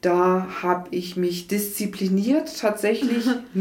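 Very slow speech with lively intonation and audible room echo. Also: woman. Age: 40s. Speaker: hospital admissions clerk, former nurse. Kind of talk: interview.

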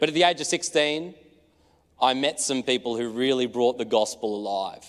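Speaking at a moderate pace, a man with an Australian accent uses a medium pitch and ordinary pitch variation. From rural Australia (New South Wales). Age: 20s. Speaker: preacher. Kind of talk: sermon.

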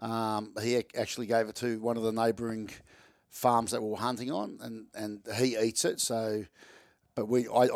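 On a very clean recording with a silent background, a man with an Australian accent talks at a fairly quick pace and medium pitch in a monotone, flat intonation. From Melbourne, Australia. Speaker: taxidermist and hunter. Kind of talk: casual interview chat. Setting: indoors, recorded in person.

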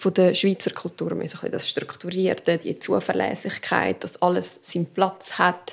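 Background noise is noticeable as a woman talks. She keeps a moderate pace with hardly any pauses. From Canton Aargau, Switzerland, Portuguese family. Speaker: podcast co-host. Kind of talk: casual chat. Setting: home kitchen.

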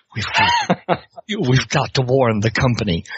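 In a quiet, gravelly put-on character voice, a man speaks at a very slow pace and a medium pitch. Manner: very quiet, hushed.

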